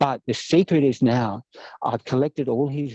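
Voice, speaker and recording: A man speaks with ordinary pitch variation. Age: 60s. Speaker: monk and author. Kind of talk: interview. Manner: halting.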